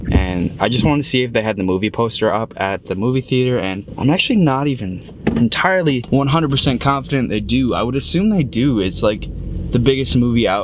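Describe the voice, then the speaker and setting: A man at a fairly quick pace, dry with no echo, over noticeable background noise. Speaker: actor vlogger. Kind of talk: casual vlog chat. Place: car. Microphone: phone near.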